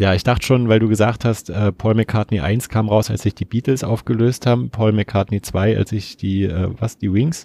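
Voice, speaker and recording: In a very clean recording with a silent background, a man speaks at a moderate pace in a fairly low voice. His tone is dark and mellow, with fairly even intonation and a dry, close sound with no echo. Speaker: community radio music show co-host. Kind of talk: casual chat about music.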